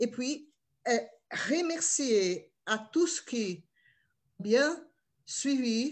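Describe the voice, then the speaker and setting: A somewhat breathy woman's voice with very wide pitch swings against a quiet background. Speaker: session chair. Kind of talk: closing remarks. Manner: halting.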